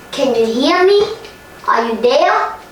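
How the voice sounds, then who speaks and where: In a put-on character voice, a woman speaks at a high pitch with a slight echo. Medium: read story.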